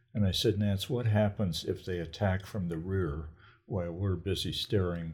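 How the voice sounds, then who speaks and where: At a moderate pace, a man speaks with a very deep, low pitch, ordinary pitch variation and a somewhat breathy quality. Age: 80s+. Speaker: grandparent telling life story. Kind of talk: casual chat. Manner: halting.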